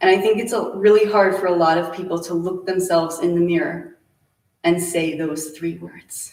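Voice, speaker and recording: In a monotone, flat delivery, a woman with a fairly low pitch speaks at a moderate pace. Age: 30s. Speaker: nutrition and acne coach. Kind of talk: presentation.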